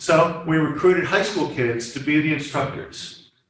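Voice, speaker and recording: Audible room echo surrounds this man's voice. He speaks at a fairly high pitch and a moderate pace. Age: 70s. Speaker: STEM education volunteer presenting a community program. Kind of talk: class presentation with slides and questions. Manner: hesitant, many fillers and restarts.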